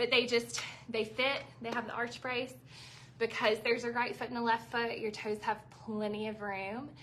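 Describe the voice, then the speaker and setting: A woman talks at a moderate pace in a Southern US accent, her pitch fairly high and her intonation monotone and flat. Noticeable background noise is present. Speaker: shoe store owner selling live. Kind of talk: live sales stream. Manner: chatty, conversational.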